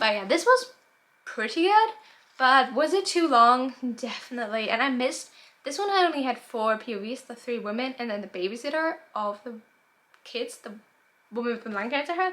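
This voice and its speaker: At a fairly quick pace, a woman with a high pitch and a bright, sharp tone talks with lively intonation, big swings in loudness and long, frequent pauses. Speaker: book vlogger. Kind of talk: casual chat. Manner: fast.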